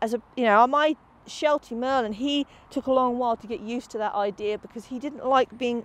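A woman's high voice at a fairly quick pace, with ordinary pitch variation and dry sound with no echo. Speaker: dog agility trainer. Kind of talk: tutorial. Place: open country.

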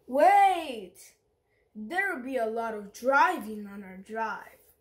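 A woman uses a put-on character voice, high in pitch. She goes at a fairly slow pace. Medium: read story. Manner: fretful, earnest.

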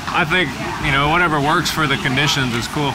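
A man's voice with ordinary pitch variation amid noticeable background noise. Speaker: interviewee. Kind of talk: interview answer. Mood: relaxed, casual. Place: cafe.

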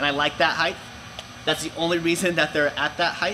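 A man's fairly high voice at a fairly quick pace, with little pitch movement and clear background noise.

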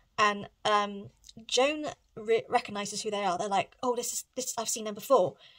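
A woman with a British accent at a moderate pace, ordinary pitch variation, and a quiet background. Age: 30s. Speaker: book vlogger. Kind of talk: casual vlog chat. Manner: animated. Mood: relaxed, chatty. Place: home room. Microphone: phone near.

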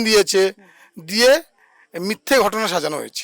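A man speaks in a high pitch. The sound is dry and close, with no echo. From Sandeshkhali, West Bengal. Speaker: local resident. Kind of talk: street interview.

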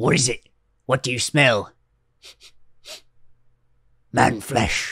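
Using a put-on character voice at a medium pitch, a man talks at a very slow pace with long, frequent pauses. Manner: menacing, taunting.

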